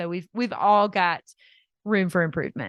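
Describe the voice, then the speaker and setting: A woman with a Southern US accent at a moderate pace, recorded dry and close with no echo against a quiet background. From US South. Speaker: dietitian and health coach. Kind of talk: interview.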